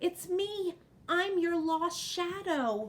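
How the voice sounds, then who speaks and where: In a put-on character voice, a woman squeaks with an extremely high pitch and a timid tone. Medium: read story. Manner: timid, soft.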